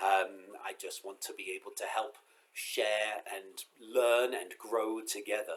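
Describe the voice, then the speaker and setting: A man is speaking. He has an English accent. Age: 40s. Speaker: rabbi. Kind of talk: pre-Sabbath congregational message. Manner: casual, hesitant with fillers.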